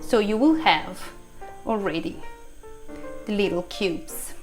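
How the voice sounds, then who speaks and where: A woman's high-pitched voice at a fairly slow pace, with music in the background. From Italy. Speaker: food blogger and radio host. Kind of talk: cooking class instruction.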